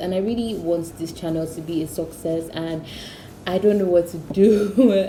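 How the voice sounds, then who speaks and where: A woman speaks at a moderate pace and a fairly low pitch with fairly even intonation. The recording has audible room echo and noticeable background noise. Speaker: cooking youtuber. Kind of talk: casual vlog intro. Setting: at home. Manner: soft-spoken, whispering.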